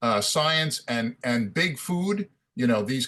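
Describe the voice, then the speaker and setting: In an unremarkable speaking voice, a man with an American accent talks at a fairly high pitch with lively intonation. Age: 60s. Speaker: running school member. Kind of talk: group call discussion.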